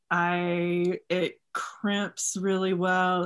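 A bright, sharp tone with an American accent at a very slow pace. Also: woman. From Texas. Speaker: custom bootmaker. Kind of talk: casual interview. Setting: video call.

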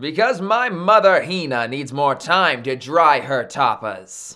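Using a put-on character voice, a man speaks slowly in a fairly high pitch with a bright, sharp tone and lively intonation, on a very clean recording with a silent background.

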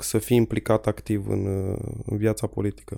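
A man speaks in a dark, mellow tone with monotone, flat intonation. The recording is very clean, with a silent background. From Romania, Jiu Valley (Petroșani). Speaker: local politician. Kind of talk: casual interview. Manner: halting.

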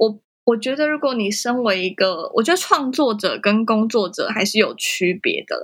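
A woman talks in an unremarkable speaking voice at a fairly high pitch and a moderate pace. Her intonation is lively, with hardly any pauses. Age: 20s. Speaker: photographer and social media visual content instructor. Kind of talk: casual interview.

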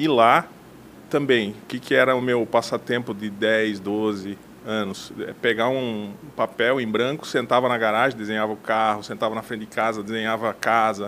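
In an ordinary speaking voice, a man talks at a moderate pace and medium pitch with fairly even intonation. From western Santa Catarina, Brazil (Mondaí). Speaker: architect. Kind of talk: interview.

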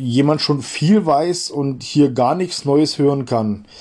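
A man speaks with a dark, mellow tone at a fairly high pitch. He takes a fairly slow pace. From Bavaria, Germany. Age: 40s. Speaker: podcast host. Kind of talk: solo monologue introducing a podcast.

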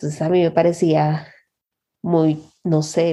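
A woman with a dark, mellow tone speaks at a fairly slow pace, her fairly low pitch held in a monotone, flat intonation. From Honduras. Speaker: software developer. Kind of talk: interview.

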